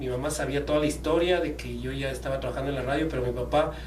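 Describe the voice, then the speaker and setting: The recording carries audible room echo. Noticeable background noise runs through it as well. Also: man. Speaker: sports journalist and radio producer. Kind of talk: interview. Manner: hesitant, many fillers and repetitions.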